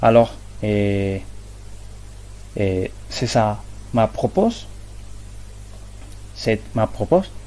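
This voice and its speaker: A man with a non-native accent. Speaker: student presenting research methods. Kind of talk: academic presentation. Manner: halting, many hesitations and repetitions.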